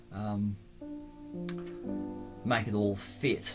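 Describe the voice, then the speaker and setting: The man talks at a very slow pace. Behind him, music plays. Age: old. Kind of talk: casual travel vlog narration. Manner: hesitant, halting.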